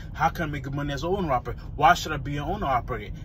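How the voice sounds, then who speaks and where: A man talks very fast in an animated tone. There is audible room echo and noticeable background noise. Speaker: truck driver vlogger. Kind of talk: casual advice vlog. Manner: halting, self-correcting.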